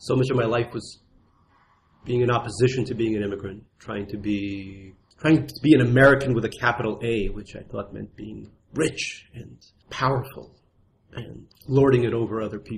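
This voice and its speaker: Loudness rises and falls in big swings as a man talks at a moderate pace. His voice is somewhat breathy, with fairly even intonation. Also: medium pitch for a man. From Russia. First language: Russian. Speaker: memoir author. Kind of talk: interview.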